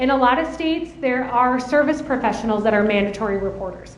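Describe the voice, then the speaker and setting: A loud, very fast, high-pitched woman with a slight Minnesota accent, amid noticeable background noise and audible room echo. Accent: slight Minnesota accent, long O's. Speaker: adult protective services trainer. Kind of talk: conference presentation. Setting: conference room with audience.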